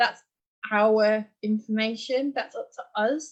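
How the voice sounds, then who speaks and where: A woman with an English accent and a fairly high pitch. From England. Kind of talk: live Q&A interview.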